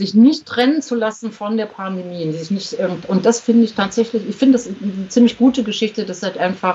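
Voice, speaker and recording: Speaking at a fairly quick pace with hardly any pauses, a woman uses a fairly high, somewhat breathy voice with ordinary pitch variation. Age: 50s. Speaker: journalist and author. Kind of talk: casual interview. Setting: remote call via Skype.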